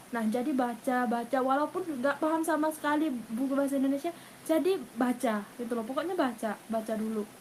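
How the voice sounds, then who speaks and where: Amid noticeable background noise, a woman with a high pitch talks at a fairly quick pace, hardly any pauses, and ordinary pitch variation. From Thailand. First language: Thai (speaking Indonesian). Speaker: university student and language tutor. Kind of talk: casual interview. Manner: hesitant, many fillers.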